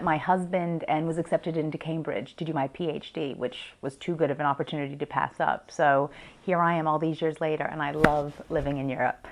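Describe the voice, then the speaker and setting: A woman with an American accent talks at a fairly quick pace. Hers is a normal speaking voice with a fairly low pitch. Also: quiet background. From US, Washington DC. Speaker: business coach and consultant. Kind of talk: interview monologue.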